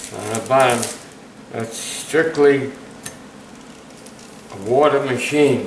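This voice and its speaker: Amid noticeable background noise, a man at medium pitch speaks at a very slow pace with long, frequent pauses and ordinary pitch variation. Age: 80s+. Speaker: metal detecting hobbyist. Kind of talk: casual show-and-tell to camera. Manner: hesitant, with fillers.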